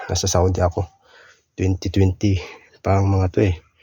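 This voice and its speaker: A man with a very deep, low pitch keeps to a moderate pace. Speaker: vlogger, former overseas worker. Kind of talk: casual vlog. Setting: old family house. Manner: casual, halting.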